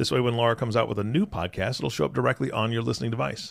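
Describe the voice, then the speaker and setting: A man with vocal fry talks at a very fast pace, his pitch varying in an ordinary way. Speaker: co-host, podcast announcer. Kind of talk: casual chat and show intro/outro.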